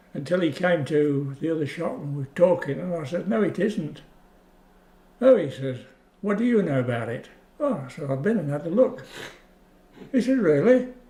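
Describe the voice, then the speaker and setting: With an English Midlands accent, a man speaks at a moderate pace and a high pitch, swinging very widely in pitch and taking long, frequent pauses. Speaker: war-time witness, oral history interviewee. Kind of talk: oral history interview answer.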